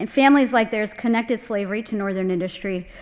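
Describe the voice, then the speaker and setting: A plain, everyday voice belongs to a woman with an American accent. She talks at a fairly quick pace and a fairly high pitch. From US South. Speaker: landscape architect. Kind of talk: lecture.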